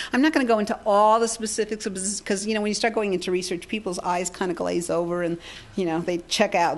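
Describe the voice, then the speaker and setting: In an American accent, a woman speaks at medium pitch with ordinary pitch variation, an ordinary speaking voice. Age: 60s. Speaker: healing technology researcher and speaker. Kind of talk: seminar talk. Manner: conversational, with many fillers and repetitions.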